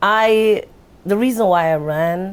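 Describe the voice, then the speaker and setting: With a Jamaican accent, a woman speaks with ordinary pitch variation. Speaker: local political candidate. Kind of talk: casual interview conversation.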